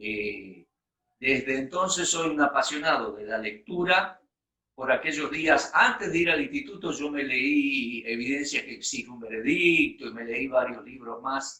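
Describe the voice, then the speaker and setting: A man with a normal speaking voice talks at a fairly slow pace. His pitch is fairly high with ordinary variation, and his loudness swings widely. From Argentina. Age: 60s. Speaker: bible teacher. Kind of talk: personal testimony in a talk.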